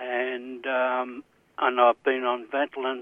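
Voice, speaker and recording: A man with an Australian accent. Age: 60s. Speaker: caller, retired builder. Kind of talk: radio call-in. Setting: phone call. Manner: halting.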